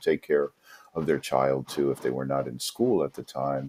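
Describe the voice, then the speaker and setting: A New York accent at a moderate pace. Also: man. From New York City. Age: 50s. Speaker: English teacher. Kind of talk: interview.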